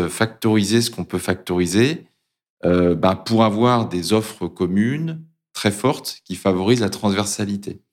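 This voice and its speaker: The recording is very clean, with a silent background. A man talks at a moderate pace with a fairly low pitch and ordinary pitch variation. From Brittany, France. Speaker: corporate learning director. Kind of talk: interview. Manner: halting.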